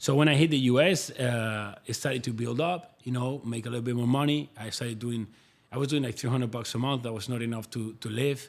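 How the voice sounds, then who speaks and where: A man speaks with a Spanish accent at a medium pitch. His pace is fairly quick and his intonation fairly even. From Spain, Madrid. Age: 30s. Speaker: fitness influencer and online coach. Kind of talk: casual interview chat.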